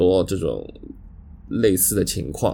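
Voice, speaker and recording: Speaking at a very slow pace, the man has a dark, mellow tone. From Shanghai. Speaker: podcast co-host. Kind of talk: casual chat. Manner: halting, many fillers.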